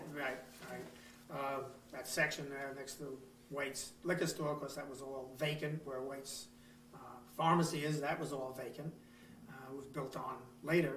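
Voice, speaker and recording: A man with an American accent and a fairly high pitch talks at a moderate pace with long, frequent pauses. His intonation is monotone and flat, his loudness swings widely, and music plays in the background. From Long Island, New York. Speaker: retired market owner. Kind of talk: interview answer.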